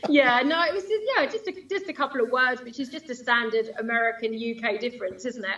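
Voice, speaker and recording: With an English accent, the speaker moves at a fairly quick pace with hardly any pauses and lively intonation. Noticeable background noise runs underneath. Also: woman, high pitch for a woman. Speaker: line dance instructor and DJ. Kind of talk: casual interview chat. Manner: fast.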